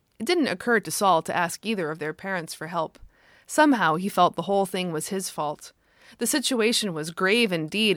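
Natural-sounding reading voice

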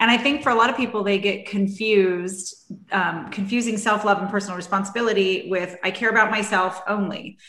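Over noticeable background noise, a woman talks fairly quickly at a medium pitch with fairly even intonation. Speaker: podcast host. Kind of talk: casual interview chat.

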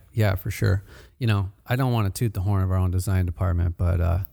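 The voice has a dark, mellow tone, sounds somewhat breathy and moves at a fairly quick pace. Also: man. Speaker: podcast host, marketing manager. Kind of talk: casual interview chat. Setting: in-store studio, recorded at a shop. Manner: upbeat, friendly.

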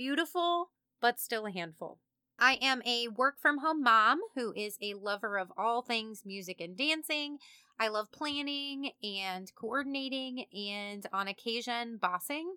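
A woman with a high pitch, lively intonation and an animated tone speaks in a very clean recording with a silent background and a dry, close sound with no echo. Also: fairly slow pace. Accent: Midwestern US. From Kansas. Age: 30s. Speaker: podcast host. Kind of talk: casual monologue. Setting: home studio, alone.

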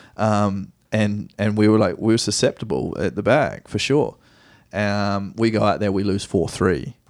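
A man's fairly low voice at a moderate pace, with a New Zealand accent. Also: ordinary pitch variation, very clean recording, silent background. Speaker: professional soccer player. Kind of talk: casual interview. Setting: home studio.

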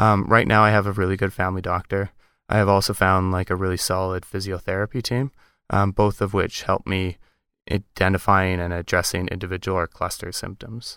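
A man's very deep, low-pitched voice, bright and sharp in tone, with monotone, flat intonation on a very clean recording with a silent background. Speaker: podcast co-host. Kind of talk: casual chat. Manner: bursts of rapid speech.

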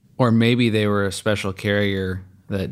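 A man talks in a very deep, low pitch with monotone, flat intonation. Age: 30s. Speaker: podcast co-host, insurance agency owner. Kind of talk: casual chat.

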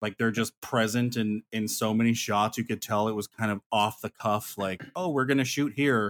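With an American accent, a man in an unremarkable speaking voice talks at a moderate pace and medium pitch, fairly even intonation and hardly any pauses, in a dry, close sound with no echo. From rural US West (small high-desert town). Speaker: filmmaker. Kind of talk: casual chat.

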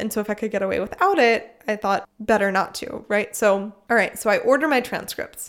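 A woman with an American accent has an ordinary speaking voice and a fairly high pitch. She talks at a fairly quick pace with ordinary pitch variation. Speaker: podcast host. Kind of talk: casual chat.

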